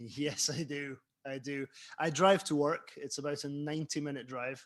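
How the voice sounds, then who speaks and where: The speaker is a man. He has a Scottish accent. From Scotland. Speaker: author. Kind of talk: interview. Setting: online event. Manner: casual.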